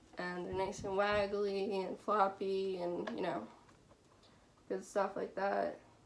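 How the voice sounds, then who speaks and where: A woman at medium pitch, monotone and flat, at a very slow pace with long, frequent pauses, amid noticeable background noise and audible room echo. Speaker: fursuit maker. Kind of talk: tutorial.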